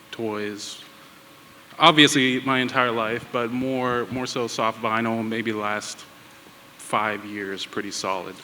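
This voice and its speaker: With an American accent, a man talks at a very slow pace and medium pitch, his intonation fairly even and broken by long, frequent pauses, over noticeable background noise. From Pittsburgh, US. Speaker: tattoo artist and toy designer. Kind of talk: panel discussion.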